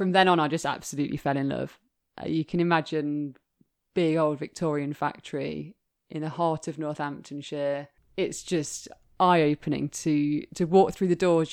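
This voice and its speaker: With an English Midlands accent, a woman speaks at a moderate pace in a very deep, low pitch and monotone, flat intonation on a very clean recording with a silent background. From English Midlands, Leicester. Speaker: bespoke shoemaker. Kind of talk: interview.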